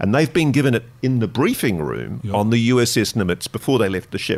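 A man with an Australian accent and vocal fry, at a fairly quick pace. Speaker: investigative journalist. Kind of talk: interview storytelling. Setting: studio.

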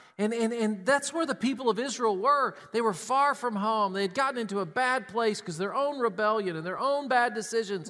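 In a very clean recording with a silent background, a man with an American accent projects a raised voice at a moderate pace, his tone bright and sharp and his intonation lively. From Tennessee. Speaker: pastor. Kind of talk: sermon.

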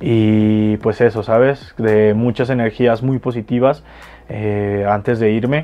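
A man's voice at a medium pitch, very slow, with very even loudness and fairly even intonation. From Mexico, Jalisco (Guadalajara). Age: 20s. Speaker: freestyle rapper. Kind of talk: interview.

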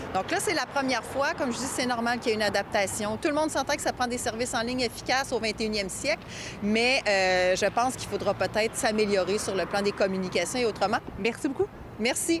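A woman with a fairly high pitch talks at a fairly quick pace with ordinary pitch variation, and noticeable background noise is present. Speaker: government minister. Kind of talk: press interview.

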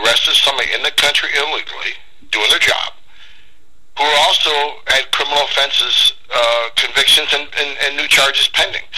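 Over a noticeable background hum, a man's words come out at a fairly quick clip. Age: 50s. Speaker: former immigration enforcement director. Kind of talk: radio interview. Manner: forceful, straightforward.

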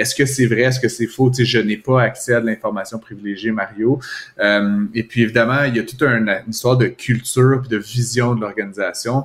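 A medium-pitched man with a Quebec accent and fairly even intonation. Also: fairly quick pace. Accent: Québécois French. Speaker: economics commentator. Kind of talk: casual chat.

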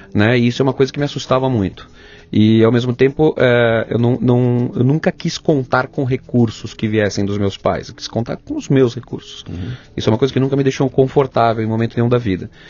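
A man talks at a fairly quick pace in a plain, everyday voice with ordinary pitch variation. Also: medium pitch for a man. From São Paulo state, Brazil (Ribeirão Pires). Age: 40s. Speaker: television and film director. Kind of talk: interview conversation.

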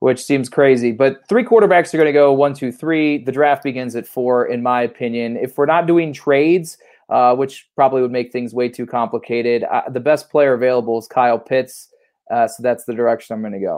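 A man with an American accent speaks at a fairly quick pace with ordinary pitch variation. He has an unremarkable speaking voice. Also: medium pitch for a man. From Ohio, Cleveland. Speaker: sports reporter. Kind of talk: casual sports chat.

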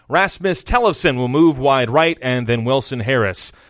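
At a moderate pace, a man speaks with a medium pitch in a plain, everyday voice. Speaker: play-by-play commentator. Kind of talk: live commentary. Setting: stadium broadcast booth.

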